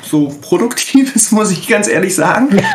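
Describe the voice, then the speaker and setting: The speaker's lively intonation comes through over noticeable background noise and audible room echo. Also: man. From Ruhr area, Germany. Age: 40s. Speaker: role-playing game editor. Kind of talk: casual chat.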